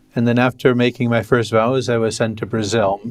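A man with an American accent, in a normal speaking voice at a medium pitch and a moderate pace. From western New York State, US. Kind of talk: interview.

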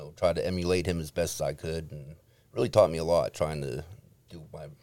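The voice has a dark, mellow tone and an American accent, moving at a fairly quick pace. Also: man. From Warren, Ohio. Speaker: keyboardist in a band.

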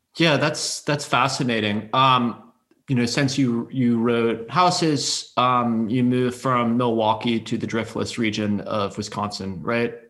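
A man talks at a fairly slow pace in a normal speaking voice. His pitch is medium, with ordinary variation. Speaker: podcast host. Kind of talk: interview.

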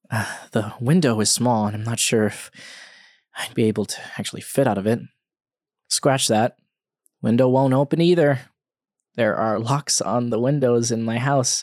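A man speaks at a medium pitch and moderate pace with ordinary pitch variation. He takes long, frequent pauses on a very clean recording with a silent background. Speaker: podcast host. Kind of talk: scripted horror narration, reading a creepypasta aloud in first person.

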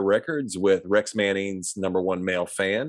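Lively intonation in a Midwestern American accent, dry and close with no echo, in a very clean recording with a silent background. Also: man. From US Midwest, small town. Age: 50s. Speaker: movie review podcast co-host. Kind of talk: casual chat.

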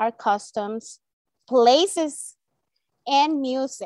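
A woman with a Spanish accent, high-pitched, with lively intonation. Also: dry, close sound with no echo. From El Salvador. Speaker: elementary Spanish teacher. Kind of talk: interview.

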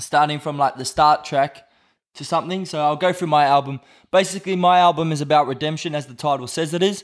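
Talking very fast in an Australian accent, a man keeps fairly even intonation while his loudness swings widely, on a very clean recording with a silent background. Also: fairly high pitch for a man. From Australia, north Brisbane. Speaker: rapper. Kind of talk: casual chat. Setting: studio.

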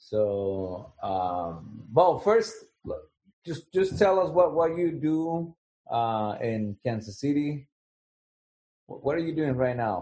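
A man speaks very slowly with long, frequent pauses. His fairly high pitch moves in very wide swings. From Latin America. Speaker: teacher. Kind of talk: interview.

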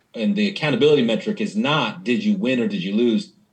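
A man talks with very wide swings in pitch. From US Pacific Northwest, Spokane, Washington. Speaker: nonprofit CEO. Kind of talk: casual interview.

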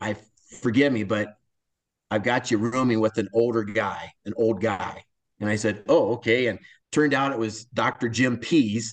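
With an American accent, a man speaks at a medium pitch and a moderate pace, his intonation fairly even. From US Midwest, north central Iowa. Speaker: forest service recreation manager. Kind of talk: interview.

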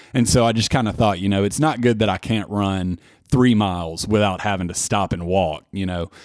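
Speaking at a fairly quick pace, a man uses a fairly low pitch with a Tennessee accent. His tone is animated, with ordinary pitch variation. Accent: Tennessee Southern US. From Murfreesboro, Tennessee. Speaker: ultramarathon runner guest. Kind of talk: casual conversational interview. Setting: studio. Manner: talkative, animated storyteller.

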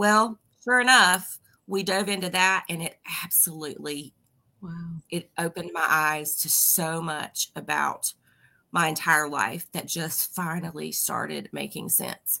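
A woman's bright, sharp voice at a fairly low pitch, with vocal fry, ordinary pitch variation, big swings in loudness and a fairly slow pace. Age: 40s. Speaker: author and ADHD advocate. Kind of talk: casual interview.

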